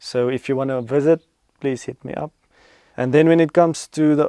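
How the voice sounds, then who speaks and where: A man's dark, mellow voice in a South African accent, at a moderate pace with fairly even intonation. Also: dry, close sound with no echo. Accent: Afrikaans-accented English. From Namibia. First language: Afrikaans. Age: 20s. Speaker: cattle farmer and tour operator. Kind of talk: Q and A video to camera.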